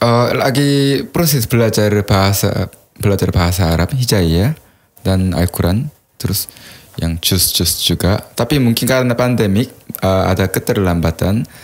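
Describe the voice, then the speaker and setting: A man with a strong Korean accent speaks at a moderate pace and fairly low pitch, with lively intonation and very even loudness. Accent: thick Korean accent in Indonesian. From South Korea. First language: Korean (speaking Indonesian). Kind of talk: podcast interview, personal testimony.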